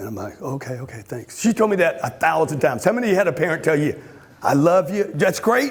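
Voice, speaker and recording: Over noticeable background noise, a man speaks at a very fast pace in an animated tone, his high pitch swinging very widely. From Louisiana. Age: 60s. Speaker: motivational speaker. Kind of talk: motivational talk.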